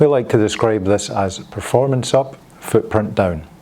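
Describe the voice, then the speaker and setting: With a Scottish accent, a man speaks at a fairly low pitch. His tone is dark and mellow. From Scotland. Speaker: industry presenter. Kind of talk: corporate presentation. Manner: formal.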